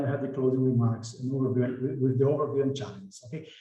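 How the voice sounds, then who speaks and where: Someone speaks with a Brazilian Portuguese accent, with audible room echo around the voice. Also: man. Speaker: impact investment director and evaluator. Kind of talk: webinar presentation. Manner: halting, with repetitions.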